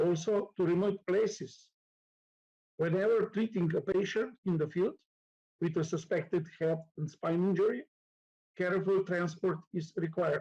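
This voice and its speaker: A man with a Slovenian accent speaks at a high pitch, with a dark, mellow tone and fairly even intonation. His loudness stays very even, and his pauses are long and frequent. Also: moderate pace. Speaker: nurse and conference lecturer. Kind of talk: conference lecture. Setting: conference hall with live audience. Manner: halting, many fillers.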